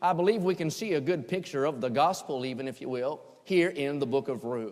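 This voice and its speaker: A man's voice at medium pitch. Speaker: preacher. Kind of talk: sermon. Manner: fast.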